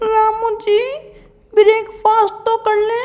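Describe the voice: A put-on character voice, female-sounding, sits at an extremely high pitch. Its intonation stays monotone and flat.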